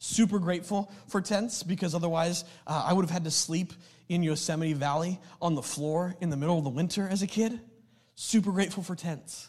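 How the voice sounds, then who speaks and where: A man's high, animated voice at a fairly quick pace, in a very clean recording with a silent background. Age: 30s. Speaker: pastor. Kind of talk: sermon. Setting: church with live audience.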